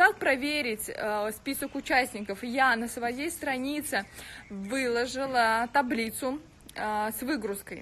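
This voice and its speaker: A woman with a high pitch and ordinary pitch variation speaks at a very slow pace, leaving long, frequent pauses. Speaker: blogger hosting a giveaway. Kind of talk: casual live stream chat. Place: home room. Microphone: phone near.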